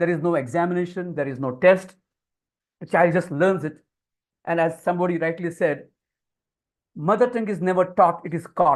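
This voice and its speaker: Pausing long and often, a man with an Indian accent speaks at a moderate pace in a high pitch with ordinary pitch variation. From India (Marathi-speaking, Konkani family from Goa side). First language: Konkani/Marathi. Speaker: communication skills trainer. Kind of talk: webinar lecture. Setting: online webinar.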